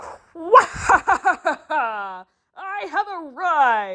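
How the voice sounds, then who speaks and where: Loud and high-pitched, a woman performs a put-on character voice with very wide pitch swings. The recording is very clean, with a silent background. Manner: loud, grandiose.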